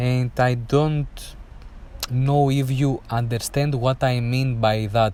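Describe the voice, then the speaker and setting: Very slowly, a man speaks with a non-native accent in a medium pitch, his intonation monotone and flat. His loudness stays very even, with noticeable background noise behind him. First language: not English. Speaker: air traffic control exam coach. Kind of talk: tutorial. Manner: halting, many fillers.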